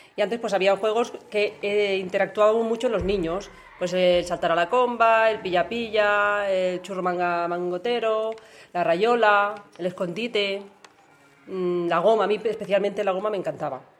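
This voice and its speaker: A woman speaks in a normal speaking voice at medium pitch, with fairly even intonation and a moderate pace. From Catalonia, Spain. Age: 40s. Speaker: parent interviewed by child. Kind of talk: interview.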